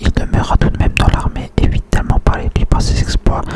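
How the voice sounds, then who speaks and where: Noticeable noise sits in the background. Over it, a man whispers. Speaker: ASMR creator. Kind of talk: whispered book reading. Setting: close to microphone. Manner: whispered.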